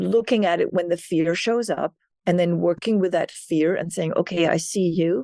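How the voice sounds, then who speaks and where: A woman's dark, mellow tone with lively intonation, dry and close with no echo. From Denmark. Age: 60s. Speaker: keynote speaker and author. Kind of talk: interview conversation.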